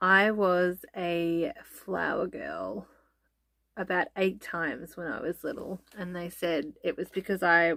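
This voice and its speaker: A woman's bright, sharp tone at a very slow pace, with ordinary pitch variation, on a very clean recording against a silent background. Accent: Australian. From Australia. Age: 30s. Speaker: family vlogger. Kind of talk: casual chat. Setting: sitting down to camera. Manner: hesitant, many ums.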